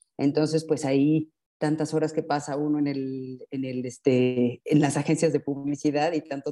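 With a Mexican accent, a woman speaks at a moderate pace in a very deep, low voice with a dark, mellow tone and fairly even intonation, the sound dry and close with no echo. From Mexico. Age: 50s. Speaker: advertising professional and mother. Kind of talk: interview conversation. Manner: halting, many fillers.

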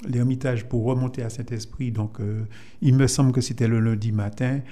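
A man speaks at a medium pitch with a dark, mellow tone and fairly even intonation, and there is audible echo in the room. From Martinique, Fort-de-France. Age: 70s. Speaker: Lions Club member. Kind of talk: radio interview.

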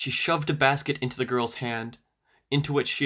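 The background is quiet as a natural reading voice keeps fairly even intonation.

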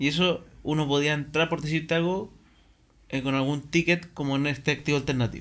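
In a very clean recording with a silent background, an ordinary speaking voice holds fairly even intonation at very even loudness. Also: man, fairly high pitch for a man. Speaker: podcast host. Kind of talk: casual interview.

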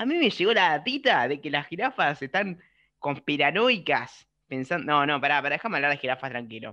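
Speaking fairly quickly with lively intonation, a man with a Rioplatense accent has a bright, sharp tone and a fairly high pitch. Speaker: podcast co-host. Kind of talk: casual chat.

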